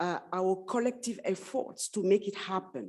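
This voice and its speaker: With a French accent, a woman speaks in a dark, mellow tone at medium pitch, her pitch varying in an ordinary way. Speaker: panelist at women in STEM forum. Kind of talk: panel discussion remarks. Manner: halting.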